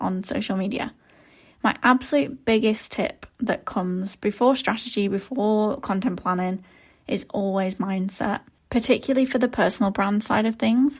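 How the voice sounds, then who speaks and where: Somewhat breathy speech comes at a moderate pace with ordinary pitch variation on a very clean recording with a silent background. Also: woman. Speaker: podcast host, social media strategist. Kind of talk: solo podcast talk. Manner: casual, chatty.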